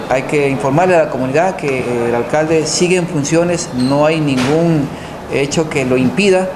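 A man at a moderate pace with ordinary pitch variation and very even loudness, over noticeable background noise. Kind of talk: press statement. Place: meeting room.

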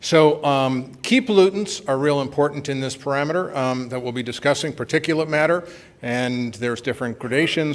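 A man's voice is heard. His delivery moves at a fairly quick pace. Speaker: conference presenter. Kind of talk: lecture. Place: hall.

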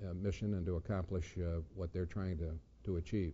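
The man's speech shows ordinary pitch variation. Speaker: lawyer giving a talk. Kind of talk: lecture. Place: classroom.

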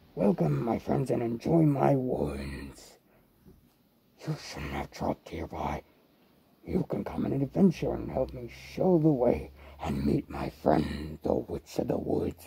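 In a put-on character voice, a man speaks with a very deep, low pitch at a fairly slow pace. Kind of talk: spooky Halloween character monologue. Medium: role play.

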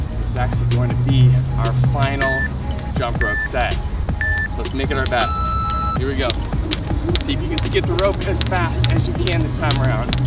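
A man at a moderate pace, with long, frequent pauses, over loud music in the background. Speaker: fitness instructor. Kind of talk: workout follow-along instruction. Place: street.

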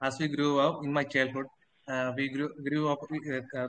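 Moderate pace, monotone and flat intonation, and light background noise. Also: man. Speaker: IELTS student. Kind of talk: speaking test practice answer. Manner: halting, hesitant. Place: home room. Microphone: video call.

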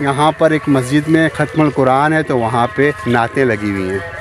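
Here a man speaks at a fairly slow pace with ordinary pitch variation. The sound is dry, with no echo. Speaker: vlogger. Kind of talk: casual vlog chat. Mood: relaxed, chatty, amused. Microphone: phone near.

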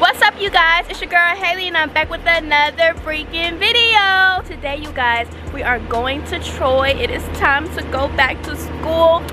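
A woman uses a raised, projected voice, and the sound is dry with no echo. Music plays in the background. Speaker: vlogger. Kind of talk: casual vlog chat. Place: street. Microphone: phone near.

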